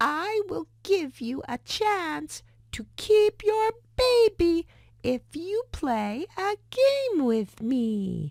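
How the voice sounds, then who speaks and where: Putting on a squeaky character voice, a woman speaks at an extremely high pitch and a very slow pace, her pitch swinging very widely. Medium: read story. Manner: sly, gleeful.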